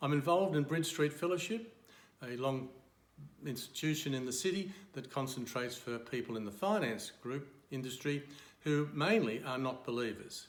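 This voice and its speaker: A man with an Australian accent speaks at a moderate pace and fairly high pitch, with audible room echo. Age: 70s. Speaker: retired accountant and church member. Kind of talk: testimony.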